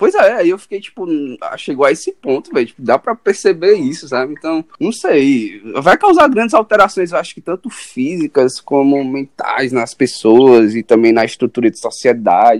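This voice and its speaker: A man speaks at a moderate pace with hardly any pauses, his fairly high pitch swinging very widely. His loudness rises and falls a lot, and the sound is dry and close with no echo. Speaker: podcast host, journalism student. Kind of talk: casual chat.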